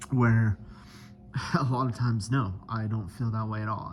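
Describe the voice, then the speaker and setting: Fairly low in pitch and somewhat breathy, a man speaks at a fairly slow pace with fairly even intonation. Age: 30s. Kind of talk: casual video diary to camera. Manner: hesitant, many filler words.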